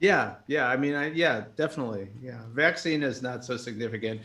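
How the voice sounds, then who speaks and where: A man with a New York accent, medium pitch, bright, sharp tone, lively intonation and a moderate pace. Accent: American, New York. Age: 60s. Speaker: jazz musician. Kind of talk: casual chat.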